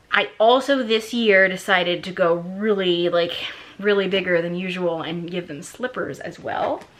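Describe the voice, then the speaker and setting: A woman talks at a moderate pace and medium pitch with ordinary pitch variation. Her loudness swings widely, and there is noticeable background noise. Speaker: lifestyle vlogger. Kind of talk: casual haul video monologue. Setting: at home at night while kids sleep.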